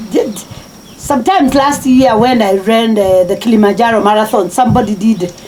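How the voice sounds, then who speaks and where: Lively intonation runs through a woman's speech. Noticeable background noise sits behind her. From Kenya, Machakos county. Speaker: marathon runner. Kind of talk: interview. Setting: at home. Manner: halting.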